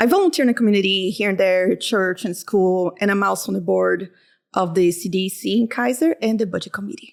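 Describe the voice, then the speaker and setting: A woman with a Portuguese accent talks at a fairly quick pace and medium pitch with ordinary pitch variation, on a very clean recording with a silent background. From Brazil. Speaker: accountant and community volunteer. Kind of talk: casual chat.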